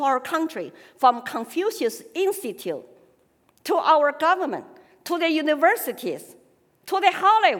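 A woman's extremely high voice with a Chinese accent, lively intonation and a moderate pace. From China (Sichuan, Chengdu). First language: Sichuan Chinese. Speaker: political activist and speaker. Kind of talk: personal testimony speech. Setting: stage with audience.

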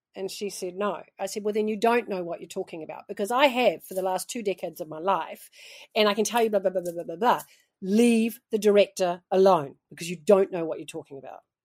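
In a very clean recording with a silent background, a woman speaks at a fairly quick pace with an animated tone, medium pitch, ordinary pitch variation and big swings in loudness. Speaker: author and storytelling coach. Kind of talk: casual interview.

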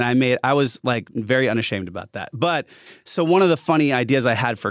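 A man with an American accent talks in an ordinary speaking voice at a moderate pace with lively intonation. The recording is very clean with a silent background. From US South (Atlanta, Georgia). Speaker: musician. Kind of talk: casual chat.

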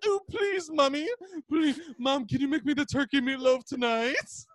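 Whiny and high-pitched, this put-on character voice moves at a moderate pace with lively intonation. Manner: effeminate, whiny, scared.

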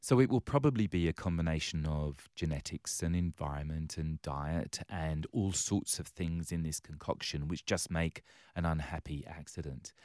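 Recorded very cleanly with a silent background and a dry, close sound with no echo, a man with an English accent and a very deep, low pitch speaks at a moderate pace with ordinary pitch variation and hardly any pauses. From London, England. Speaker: charity CEO. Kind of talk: interview.

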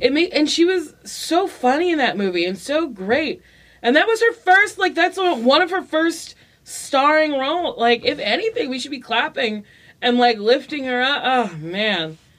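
The voice is loud and energetic, with very wide pitch swings at a moderate pace. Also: woman, high pitch for a woman. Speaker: comedian and sitcom star. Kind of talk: casual chat. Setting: studio. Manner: loud, energetic.

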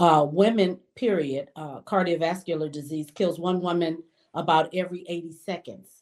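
With an American accent, an ordinary speaking voice moves at a moderate pace with fairly even intonation. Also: woman. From Detroit, Michigan. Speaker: banker. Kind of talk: interview.

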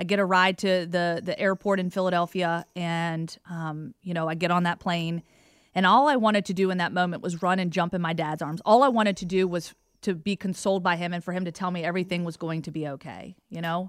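An ordinary speaking voice with an American accent, at a fairly quick pace and with fairly even intonation, on a very clean recording with a silent background. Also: woman, fairly low pitch for a woman. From Virginia, US South (Roanoke area). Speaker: sports broadcaster. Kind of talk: interview.

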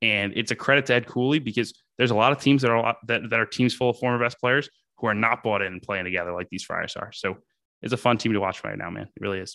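A man's bright, sharp voice at a very fast pace, dry and close with no echo, over a quiet background. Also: medium pitch for a man, ordinary pitch variation. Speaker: sports journalist. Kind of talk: casual chat.

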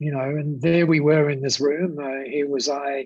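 A man with an Australian accent speaks in a fairly high pitch. His intonation stays fairly even. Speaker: business founder. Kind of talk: interview storytelling. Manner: hesitant with repetitions.

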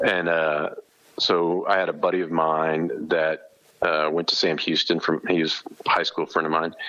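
Through noticeable background noise, a man talks at a moderate pace with very even loudness. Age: 50s. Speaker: sports recruiting journalist and barbecue restaurant owner. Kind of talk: casual chat.

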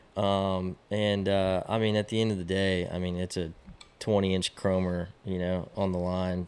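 A man with a Texan accent speaks in a very deep, low voice, his intonation flat and monotone. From Texas, Austin. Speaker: fly fishing guide. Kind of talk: casual chat.

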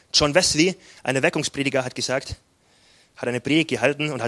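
At a fairly quick pace, the voice has a bright, sharp tone and ordinary pitch variation, with a dry, close sound and no echo. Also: man, long, frequent pauses, big swings in loudness. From southern Bavaria, near Salzburg. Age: 20s. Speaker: pastor. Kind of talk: sermon.

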